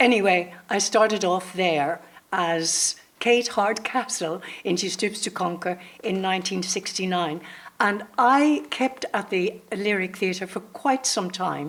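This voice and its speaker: A woman's medium-pitched voice in a Northern Irish accent, at a fairly slow pace with ordinary pitch variation, over noticeable background noise. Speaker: actor. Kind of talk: panel discussion.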